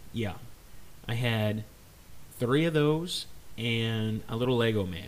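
A man speaks at a very slow pace with ordinary pitch variation. Audible room echo surrounds his voice. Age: 30s. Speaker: podcast host. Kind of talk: casual solo podcast monologue.

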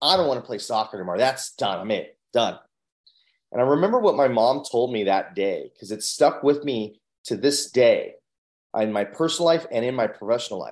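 Over a quiet background, a man talks at a fairly quick pace. He has a plain, everyday voice with lively intonation. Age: 40s. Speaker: mindset coach and speaker. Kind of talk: interview, personal story.

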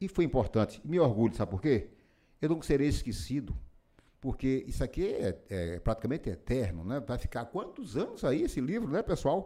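With a dark, mellow tone and vocal fry, a man speaks at a moderate pace. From Pernambuco backlands, Brazil; raised in Feira de Santana, Bahia. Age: 70s. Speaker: former city councillor and author. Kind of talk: interview. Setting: studio.

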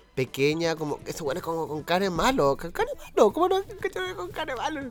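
A man speaks with a Chilean accent at a moderate pace. His pitch shows ordinary variation. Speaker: podcast co-host. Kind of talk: casual chat.

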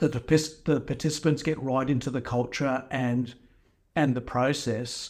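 In a very clean recording with a silent background, a man with an Australian accent speaks at a moderate pace in a monotone, flat delivery. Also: medium pitch for a man. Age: 50s. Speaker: skate photographer. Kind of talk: casual chat.

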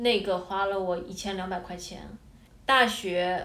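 Audible room echo surrounds a woman who talks at a very slow pace. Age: 20s. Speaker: former programmer, aspiring fashion design student. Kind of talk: casual interview conversation.

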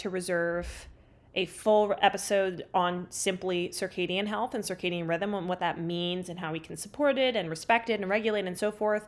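At a moderate pace, a woman speaks in an animated tone with ordinary pitch variation on a very clean recording with a silent background. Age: 20s. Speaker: holistic health coach and podcast host. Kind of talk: solo podcast monologue.

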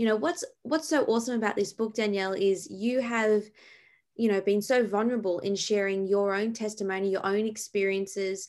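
An Australian accent at a fairly quick pace, with fairly even intonation, very even loudness and a very clean recording with a silent background. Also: woman. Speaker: podcast host and ministry founder. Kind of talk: interview.

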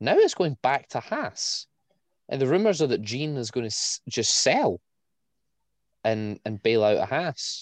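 Against a quiet background, a man at medium pitch talks at a fairly slow pace with lively intonation and long, frequent pauses. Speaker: podcast host. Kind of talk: casual chat.

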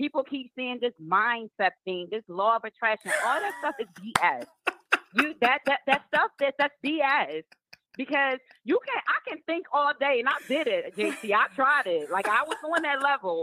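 The raised, projected voice has a bright, sharp tone and very wide pitch swings, delivered at a moderate pace. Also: woman, high pitch for a woman. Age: 30s. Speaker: caller. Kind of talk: phone-in conversation. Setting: phone call.

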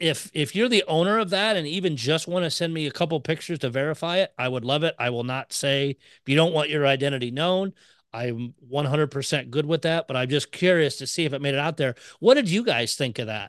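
A man talks at a fairly quick pace in an ordinary speaking voice, fairly high with ordinary pitch variation. The sound is dry and close with no echo over a quiet background. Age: 40s. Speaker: podcast host. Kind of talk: casual chat.

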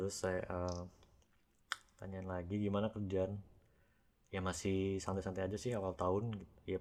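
At a moderate pace, a man speaks with a very deep, low pitch and long, frequent pauses. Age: 30s. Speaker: podcast guest sharing personal story. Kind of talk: casual storytelling chat. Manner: animated.

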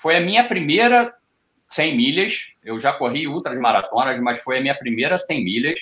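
This man has a fairly high pitch and a bright, sharp tone. He talks at a moderate pace with very wide pitch swings. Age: 50s. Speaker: ultra-distance athlete. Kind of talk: casual chat.

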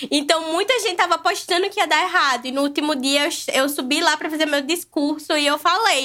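A woman's raised, projected voice, bright and sharp in tone, extremely high-pitched, with ordinary pitch variation and a fairly quick pace. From Brazil, Natal (Rio Grande do Norte, Northeast). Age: 20s. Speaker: vegan food content creator. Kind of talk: casual podcast conversation.

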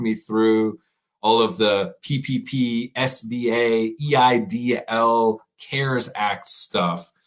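Ordinary pitch variation runs through this man's medium-pitched voice. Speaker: chef and podcast host. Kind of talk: casual chat. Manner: animated.

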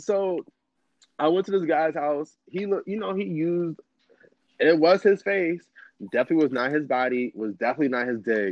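With an American accent, a man talks at a fairly quick pace in an animated tone, his fairly high pitch carrying lively intonation, broken by long, frequent pauses. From Chicago South Side. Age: 30s. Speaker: podcast guest. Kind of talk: casual chat.

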